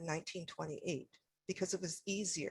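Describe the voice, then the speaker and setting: A woman's medium-pitched voice with a Canadian accent. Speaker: historian, academic speaker. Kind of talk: presentation.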